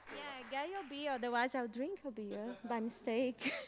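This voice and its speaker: A fairly slow delivery in a Brazilian accent, with ordinary pitch variation. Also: woman. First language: Portuguese. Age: 30s. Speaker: journalist. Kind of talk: stage talk. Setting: stage with audience.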